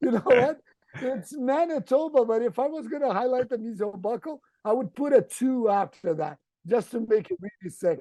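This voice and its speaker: A man with a Brazilian accent speaks at a moderate pace in an extremely high pitch, with lively intonation and a dark, mellow tone. The sound is dry and close with no echo. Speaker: endodontist. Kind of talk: casual interview. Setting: video call.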